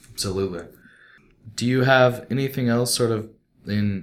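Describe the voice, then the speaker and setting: Moderately paced, a man speaks in a normal speaking voice with fairly even intonation. The recording is very clean with a silent background. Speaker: podcast host. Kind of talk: casual chat and interview.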